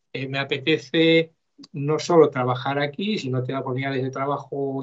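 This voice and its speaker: This man's fairly high voice moves at a moderate pace with ordinary pitch variation. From Galicia, Spain. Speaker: mentor and university lecturer. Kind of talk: interview. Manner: halting.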